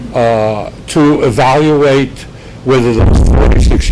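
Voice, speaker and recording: A man with a medium pitch speaks with ordinary pitch variation. The recording has audible room echo and noticeable background noise. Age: 70s. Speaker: longtime resident speaking at public comment. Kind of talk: public comment at city meeting. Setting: city commission meeting. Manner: formal.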